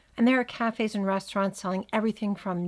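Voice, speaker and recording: Recorded very cleanly against a silent background, a woman talks with a medium pitch and fairly even intonation. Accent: New Jersey. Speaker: podcast host. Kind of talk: scripted narration.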